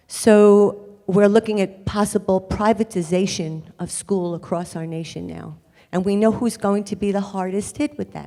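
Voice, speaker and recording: This voice has a dark, mellow tone. It moves at a moderate pace with fairly even intonation. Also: woman. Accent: Bronx. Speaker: audience member asking question. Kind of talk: audience question.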